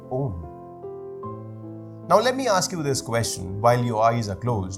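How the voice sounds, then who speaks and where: A man at a medium pitch and fairly slow pace, with music in the background. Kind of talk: spoken word poetry performance. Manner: slow, reflective.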